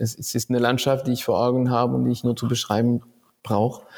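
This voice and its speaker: A man's dark, mellow voice moves at a very fast pace. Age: 40s. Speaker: author and musician. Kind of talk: interview.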